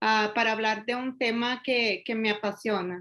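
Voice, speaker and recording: In a Brazilian accent, a woman speaks at a fairly high pitch with a bright, sharp tone. The background is quiet. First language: Portuguese (speaking Spanish). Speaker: real estate developer and lawyer. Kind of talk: webinar presentation.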